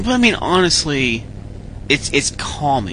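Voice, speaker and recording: Over noticeable background noise, the speaker's pitch rises and falls in an ordinary way. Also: man. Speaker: radio host. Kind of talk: casual radio DJ patter, rambling and conversational. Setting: internet radio show, live broadcast. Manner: relaxed, chatty, rambling with filler words and self-deprecating asides; plain-spoken, informal, mild cursing, answers fan questions.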